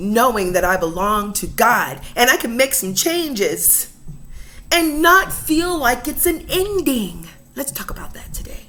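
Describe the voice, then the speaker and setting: Her voice is high-pitched and animated, with very wide pitch swings and big swings in loudness at a fairly slow pace. Audible room echo and noticeable background noise surround the woman. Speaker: inspirational vlogger. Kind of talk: casual inspirational talk. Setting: at home, kitchen table.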